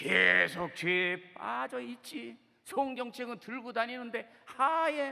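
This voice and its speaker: A man with a slight Chungcheong accent speaks in a raised, projected voice at an extremely high pitch, with ordinary pitch variation. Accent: slight Chungcheong dialect picked up. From Seoul, South Korea. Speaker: pastor. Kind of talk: sermon. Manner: animated.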